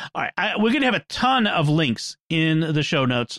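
Here a man with a normal speaking voice talks at a moderate pace. The sound is dry and close, with no echo. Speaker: podcast host. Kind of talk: casual panel discussion.

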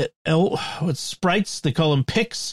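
A man speaks with lively intonation and a somewhat breathy voice. The sound is dry and close, with no echo. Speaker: podcast host. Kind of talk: casual chat.

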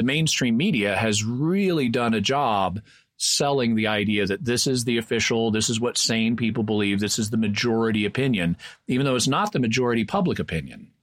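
A man's normal speaking voice at medium pitch, with ordinary pitch variation, on a very clean recording with a silent background. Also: very even loudness. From Texas. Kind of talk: casual explanatory discussion.

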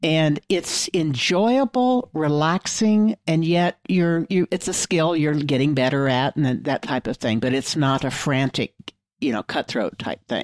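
A woman speaks with a very deep, low pitch and very wide pitch swings. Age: 70s. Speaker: tech podcast panelist. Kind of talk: casual panel chat.

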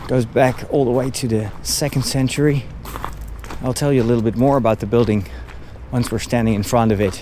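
The speech moves at a fairly quick pace with long, frequent pauses, fairly even intonation and noticeable background noise. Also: man, medium pitch for a man. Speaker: priest and podcast host. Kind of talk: walking tour narration. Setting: outdoors.

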